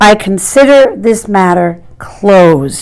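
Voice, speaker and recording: Putting on a character voice, a woman speaks at a fairly slow pace and medium pitch with lively intonation. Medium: read story. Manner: formal, officious.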